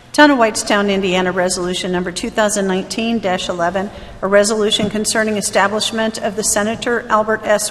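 Over light background noise, a woman with an American accent speaks at a fairly quick pace and a medium pitch. She has an unremarkable speaking voice with fairly even intonation. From US Midwest. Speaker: council member. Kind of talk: formal motions. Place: meeting room. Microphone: podium.

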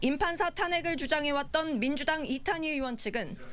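Her delivery is at a moderate speed. The woman's pitch rises and falls in an ordinary way. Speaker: news reporter. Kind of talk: news report.

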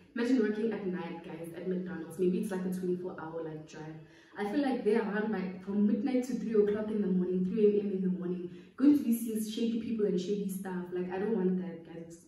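Over light background noise and audible room echo, a woman talks at a fairly quick pace with ordinary pitch variation and big swings in loudness. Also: medium pitch for a woman. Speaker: YouTuber. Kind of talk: casual chat. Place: home room. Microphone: phone near.

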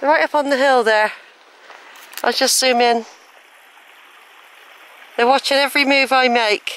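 A woman speaks fairly slowly at a high pitch with a fairly bright tone and fairly even intonation. The sound is dry and close, with no echo.

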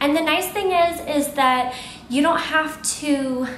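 A woman speaks with a high pitch. Audible room echo and light background noise surround her voice. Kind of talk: casual vlog tutorial. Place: shop.

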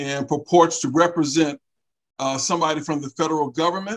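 Dry and close, with no echo at all, this recording captures a man's voice. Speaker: talk show facilitator. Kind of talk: panel discussion.

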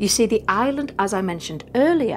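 Music plays in the background. A woman's voice moves through very wide pitch swings. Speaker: paranormal channel host. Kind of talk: storytelling commentary. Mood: dramatic, playful. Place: home room.

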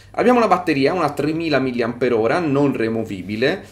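A man speaks in a normal speaking voice at a moderate pace with lively intonation. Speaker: tech reviewer. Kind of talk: product review.

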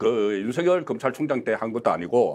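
The speaker is a man with lively intonation. His pace is moderate. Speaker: political commentator. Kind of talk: political panel discussion. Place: studio. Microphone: lapel.

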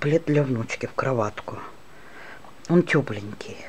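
This woman speaks with a very deep, low pitch and lively intonation, with noticeable background noise behind her. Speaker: crochet teacher. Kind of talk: tutorial. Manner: slow.

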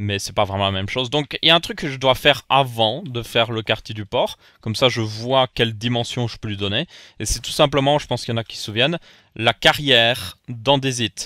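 At a fairly quick pace, a man with a medium-pitched, bright, sharp voice speaks with ordinary pitch variation and big swings in loudness, the sound dry and close with no echo on a very clean recording with a silent background. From Belgium. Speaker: gaming YouTuber. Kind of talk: Minecraft let's play commentary.

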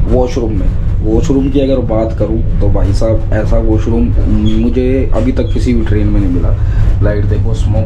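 A man keeps a moderate pace while noticeable noise carries in the background. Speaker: travel vlogger. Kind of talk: casual vlog chat. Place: train. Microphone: phone near.

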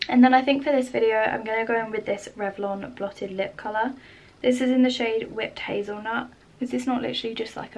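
A woman with a British accent, fairly high pitch, fairly even intonation and a fairly quick pace. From UK. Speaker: beauty YouTuber. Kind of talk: makeup tutorial vlog. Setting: home, filming at her desk under lamp light. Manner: casual and chatty. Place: home room.

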